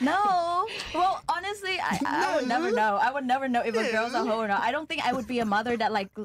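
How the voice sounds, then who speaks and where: A high-pitched woman at a very fast pace, her pitch swinging very widely, over noticeable background noise. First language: not English. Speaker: podcast panel guest. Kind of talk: casual panel discussion.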